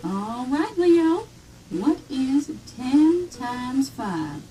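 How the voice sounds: A woman's cartoonish character voice, high in pitch and very slow in pace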